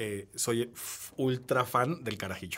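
The man's speech sits at a medium pitch with fairly even intonation. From Peru. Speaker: wine tech entrepreneur. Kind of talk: interview. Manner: halting.

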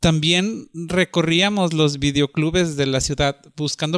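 The man's pitch is fairly high for a man and his intonation fairly even. He talks at a fairly slow pace. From northern Mexico (Monterrey). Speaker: artist. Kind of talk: personal storytelling monologue. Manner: hesitant, with frequent fillers.

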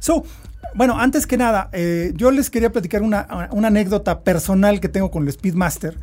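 A man talks at a very fast pace, with a high pitch and ordinary pitch variation. Noticeable background noise runs under the recording. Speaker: podcast host. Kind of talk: interview.

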